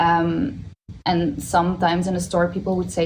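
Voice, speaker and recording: Speaking with a Dutch accent, a woman is heard in a space with audible room echo. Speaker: stylist. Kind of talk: panel discussion. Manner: halting, many fillers.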